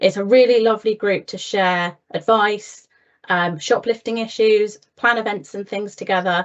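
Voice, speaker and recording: This woman has a fairly high pitch and fairly even intonation. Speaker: council officer presenting town centre update. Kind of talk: meeting presentation. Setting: virtual meeting. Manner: fast.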